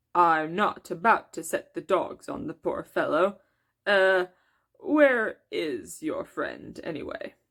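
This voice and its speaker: In a very clean recording with a silent background, a woman does a put-on character voice at a medium pitch and fairly slow pace, her loudness swinging widely. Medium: read story. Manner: soft, courteous, unruffled.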